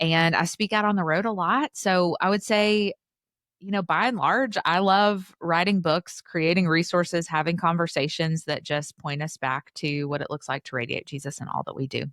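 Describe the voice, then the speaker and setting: Speaking in an East Tennessee accent, a woman has a fairly low pitch. Her pace is moderate, with ordinary pitch variation. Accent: Southern US (East Tennessee). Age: 30s. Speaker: author and podcaster. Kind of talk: interview conversation. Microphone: professional podcast mic.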